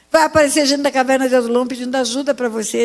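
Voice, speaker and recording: A woman's voice with a high pitch. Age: 70s. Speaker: pastor. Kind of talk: sermon.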